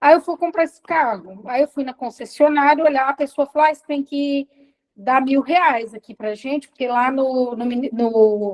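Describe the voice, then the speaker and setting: A woman speaks in a high pitch at a moderate pace, with ordinary pitch variation. Her loudness swings widely. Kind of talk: testimony.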